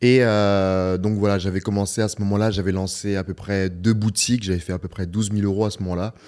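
On a very clean recording with a silent background, a man speaks fairly quickly, his pitch fairly low and his intonation fairly even. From northern France (Beauvais). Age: 30s. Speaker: e-commerce entrepreneur. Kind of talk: casual interview. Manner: halting, many repetitions.

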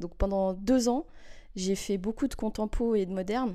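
A woman speaks at a fairly slow pace with a dark, mellow tone. The recording is very clean, with a silent background. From Switzerland, Geneva. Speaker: dancer. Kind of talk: interview.

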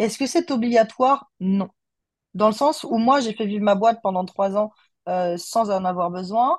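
In a normal speaking voice, a woman talks at a fairly slow pace with a fairly high pitch and ordinary pitch variation against a quiet background. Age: 30s. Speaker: communication agency owner. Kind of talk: casual interview chat.

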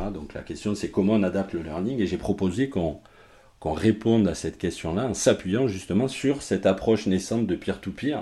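A man speaks at a moderate pace with a dark, mellow tone and lively intonation, on a very clean recording with a silent background. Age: 40s. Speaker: learning and development manager. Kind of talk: interview. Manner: halting.

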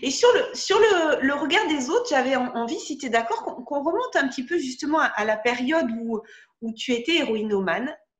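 Her high pitch moves through very wide swings as this woman speaks. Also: moderate pace. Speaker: podcast host. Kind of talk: interview.

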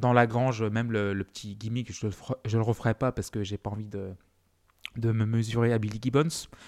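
A man's medium-pitched, monotone, flat delivery at a fairly quick pace, in a very clean, dry, close recording with no echo and a silent background. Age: 30s. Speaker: music podcast host. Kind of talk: solo music history podcast.

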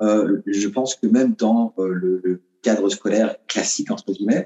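Ordinary pitch variation in a man's fairly low-pitched speech. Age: 30s. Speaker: professional dancer. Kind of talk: interview.

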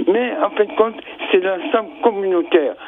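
A man speaks in a high register. Noticeable background noise runs underneath. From French Caribbean. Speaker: regular radio caller. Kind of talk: call-in opinion. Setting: phone call.

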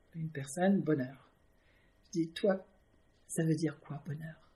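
A somewhat breathy woman with a slight English accent. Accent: slight English-speaking accent in French. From Canada, then France (Villepreux). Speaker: artist. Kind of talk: casual interview. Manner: halting, many hesitations.

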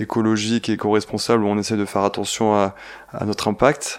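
A man speaks at a fairly quick pace and a fairly low pitch. His intonation is monotone and flat. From Provence, southern France. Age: 20s. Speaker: engineer and ski mountaineer. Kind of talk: storytelling interview.

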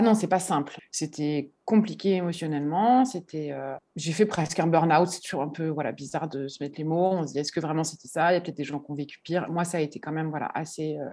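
A woman talks at a very fast pace with a very deep, low pitch and a dark, mellow tone. She hardly pauses, and her pitch varies in an ordinary way. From Paris, France. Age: 30s. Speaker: florist. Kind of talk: interview.

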